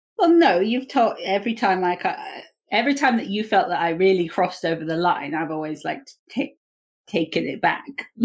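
Using an unremarkable speaking voice, a woman talks at a fairly quick pace with lively intonation. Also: medium pitch for a woman. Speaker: podcast host. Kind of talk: casual chat, podcast interview.

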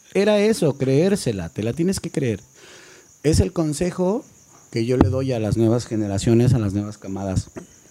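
Speaking at a moderate pace, a man with a dark, mellow tone and a medium pitch swings his pitch very widely. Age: 40s. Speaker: banda singer. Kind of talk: casual chat.

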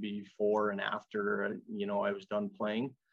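Over a quiet background, a man in an Ontario accent speaks at a moderate pace, his fairly low voice flat and monotone. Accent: Canadian (Ontario). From Canada, Fort Erie, Ontario. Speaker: college hockey coach. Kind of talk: interview.

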